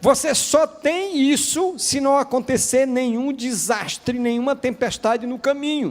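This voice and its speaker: A man speaks at an extremely high pitch with ordinary pitch variation, going at a fairly slow pace with hardly any pauses. Noticeable background noise is present. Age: 60s. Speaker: pastor. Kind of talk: sermon.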